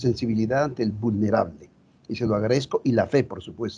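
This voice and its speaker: Somewhat breathy and dark, mellow in tone, a man talks at a fairly quick pace and medium pitch, with ordinary pitch variation. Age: 70s. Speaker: Jesuit priest, retreat house director. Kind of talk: group sharing, personal testimony.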